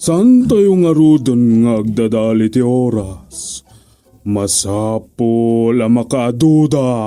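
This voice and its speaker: Over faint background music, a man does a put-on character voice at a medium pitch and a very slow pace. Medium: audio drama. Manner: laughing, teasing.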